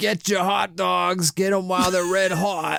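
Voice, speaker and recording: A man's high-pitched, put-on character voice with a New York accent as part of the act. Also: moderate pace. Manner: barking, selling.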